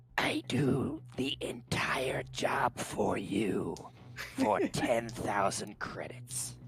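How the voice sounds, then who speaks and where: Whispering in a put-on character voice at a very slow pace, the speaker is heard over music in the background. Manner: louder.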